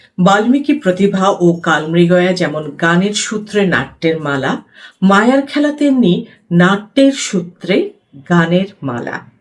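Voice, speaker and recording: This woman has a medium pitch and makes very wide pitch swings as she speaks. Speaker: theatre practitioner. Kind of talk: book reading.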